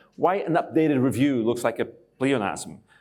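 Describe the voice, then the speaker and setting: Very clean recording with a silent background: a medium-pitched male voice with ordinary pitch variation. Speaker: professor. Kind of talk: conference talk. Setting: stage with audience. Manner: fast.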